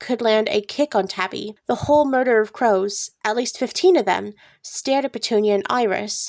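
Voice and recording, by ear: The background stays quiet. Someone reads aloud in a natural voice, and the pitch varies in an ordinary way.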